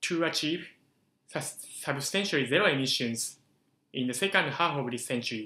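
In a Japanese accent, a man speaks at a fairly high pitch with a bright, sharp tone and ordinary pitch variation, at a moderate pace. Audible room echo surrounds long, frequent pauses. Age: 20s. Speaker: youth climate activist. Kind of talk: prepared short talk. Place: office. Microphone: camera far.

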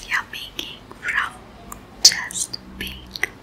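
A woman is whispering. Her pace is very slow. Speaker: ASMR creator. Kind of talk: ASMR eating video with light whispers. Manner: whispered. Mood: smiling, pleased.

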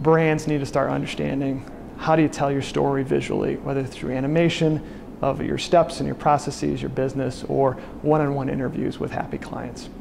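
Noticeable background noise sits under the recording. A man talks at a fairly quick pace. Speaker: presenter. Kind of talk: talking-head recap of a presentation. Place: office. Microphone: lapel.

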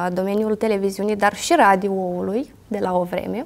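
Here a woman is talking. She keeps a moderate pace. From Moldova, Ialoveni; Moldova. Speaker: interviewer. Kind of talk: interview. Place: studio. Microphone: lapel.

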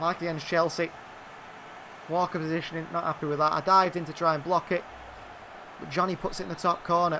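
Background noise is noticeable as a man talks in a high pitch at a very fast pace. His tone is excited. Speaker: video game commentator. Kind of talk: live commentary over gameplay. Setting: gaming video channel voiceover. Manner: rapid-fire, clipped play-by-play; excited, reacting to goals.

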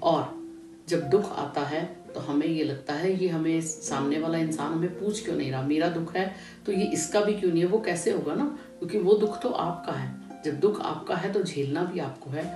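A woman speaks at a moderate pace with noticeable background noise behind her. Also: ordinary pitch variation. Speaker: motivational speaker. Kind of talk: motivational talk. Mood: calm, earnest. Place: home room. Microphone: phone near.

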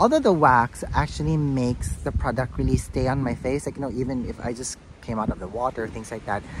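Male voice with ordinary pitch variation at a fairly quick pace, dry with no echo, over noticeable background noise. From Philippines. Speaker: beauty vlogger. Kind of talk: product review vlog. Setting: outdoors in a garden, no lapel mic. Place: garden. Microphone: phone near.

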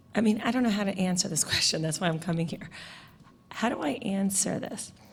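In an American accent, a woman talks at a fairly quick pace with ordinary pitch variation and audible room echo. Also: medium pitch for a woman. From New York. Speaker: parent and teacher. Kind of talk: public comment.

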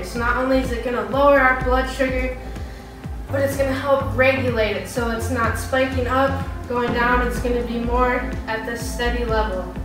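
A woman's voice carries audible room echo, with clear music in the background. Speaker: fitness instructor. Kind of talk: workout instruction. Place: gym. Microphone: camera far.

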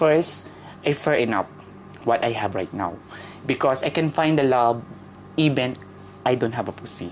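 A woman with a Filipino accent speaks at a moderate pace in a very deep, low voice with lively intonation. She leaves long, frequent pauses, and noticeable background noise can be heard. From Philippines, Manila. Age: 30s. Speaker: interviewee. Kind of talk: casual chat.

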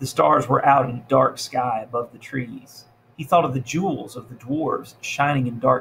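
This is a natural reading voice. Its pitch variation is ordinary.

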